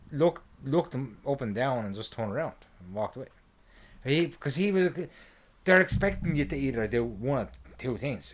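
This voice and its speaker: Speaking at a moderate pace with lively intonation, a man with an Irish accent comes through on a very clean recording with a silent background. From Ireland. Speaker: podcast co-host. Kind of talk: casual chat. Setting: home recording. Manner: halting.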